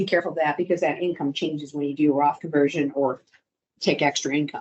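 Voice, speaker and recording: A woman speaks very fast in a very deep, low voice with fairly even intonation. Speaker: wealth management advisor. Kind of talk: professional presentation. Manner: conversational.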